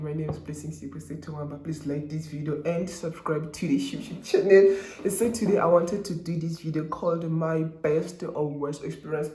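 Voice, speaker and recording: A man with a fairly high voice talks at a fairly quick pace with hardly any pauses and fairly even intonation, over noticeable background noise and audible room echo. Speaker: YouTuber, law student. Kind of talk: casual vlog. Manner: fast; casual code-switching, hesitant.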